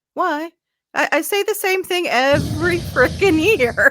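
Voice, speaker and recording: Raising and projecting her voice, a woman with a slight Southern US accent speaks at a fairly slow pace in a bright, sharp tone, with a dry, close sound with no echo on a very clean recording with a silent background. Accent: slight Southern twang. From US South. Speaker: addictions therapist. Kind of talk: casual chat.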